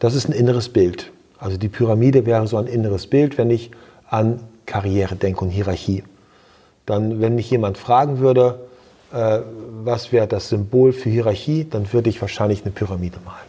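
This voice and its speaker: This man has a medium-pitched, dark and mellow voice that is somewhat breathy, with fairly even intonation at a moderate pace. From East Frisia, northern Germany. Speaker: hotel entrepreneur. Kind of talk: interview. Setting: recorded in person at a seminar. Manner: reflective, with filler hesitations.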